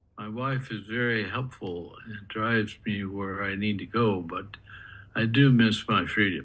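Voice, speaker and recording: Recorded with audible room echo, a man speaks fairly slowly in a fairly low pitch with ordinary pitch variation and big swings in loudness. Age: 80s+. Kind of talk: reading aloud.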